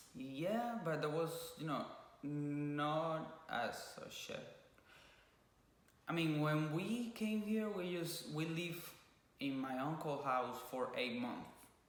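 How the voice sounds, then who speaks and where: In a Cuban accent, a man with a fairly high pitch talks at a very slow pace with lively intonation and long, frequent pauses, in a room with audible echo. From Cuba (Havana). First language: Spanish. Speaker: YouTuber (couple vlog). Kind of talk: casual chat. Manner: halting.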